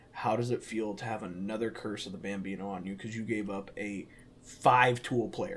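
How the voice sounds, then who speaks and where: A man's unremarkable speaking voice, medium in pitch, at a moderate pace with ordinary pitch variation. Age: 20s. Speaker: podcast co-host. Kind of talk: casual chat.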